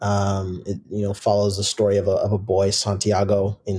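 Somewhat breathy, monotone, flat delivery with an American accent at a moderate pace, on a very clean recording with a silent background. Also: man. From US Pacific Northwest, Seattle. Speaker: professional soccer player. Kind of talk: casual interview.

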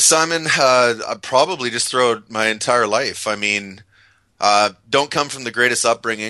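Against a quiet background, a man with a medium pitch and a bright, sharp tone speaks at a moderate pace with ordinary pitch variation. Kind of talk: podcast interview.

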